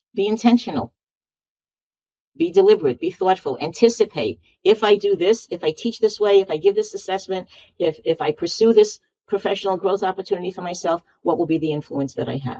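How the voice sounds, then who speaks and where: A woman talks at a fairly quick pace with lively intonation and a medium pitch. Her tone is dark and mellow, and the sound is dry and close with no echo. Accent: Bronx. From New York City, Bronx. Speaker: education consultant and university professor. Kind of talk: interview. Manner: animated.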